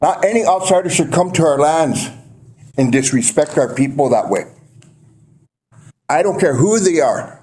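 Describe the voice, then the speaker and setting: In an American accent, a man talks at a moderate pace with fairly high pitch and ordinary pitch variation. Long, frequent pauses break up his very even loudness, and room echo is audible. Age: 60s. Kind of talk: public comment at council meeting. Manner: emotional, aggrieved.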